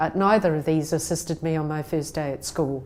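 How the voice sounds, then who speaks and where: A woman's dark, mellow voice with a New Zealand accent. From New Zealand (Christchurch), from Taiwan at age six. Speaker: conference speaker. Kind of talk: recorded talk. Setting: pre-recorded video message.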